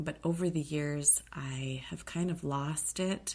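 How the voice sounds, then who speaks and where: Against a quiet background, a woman with a very deep, low pitch speaks very slowly, somewhat breathy, with fairly even intonation. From Alaska. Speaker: podcast host. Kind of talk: casual podcast monologue. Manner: hesitant, many fillers.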